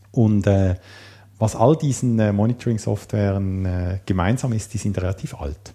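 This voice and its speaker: With an unremarkable speaking voice, a man talks at a moderate speed, his pitch moving in an ordinary way. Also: fairly low pitch for a man. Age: 40s. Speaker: programmer and system administrator. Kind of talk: casual interview.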